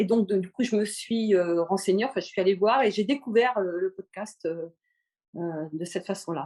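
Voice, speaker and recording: A woman's dark, mellow tone at medium pitch. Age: 60s. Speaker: podcast listener, retiree. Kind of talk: casual interview. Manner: halting, many hesitations.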